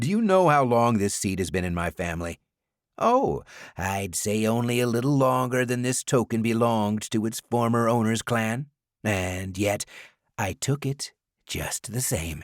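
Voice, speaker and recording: An ordinary speaking voice moves at a moderate pace with lively intonation. The recording is very clean with a silent background and a dry, close sound with no echo. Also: man, medium pitch for a man. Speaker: audiobook narrator. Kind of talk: audiobook narration.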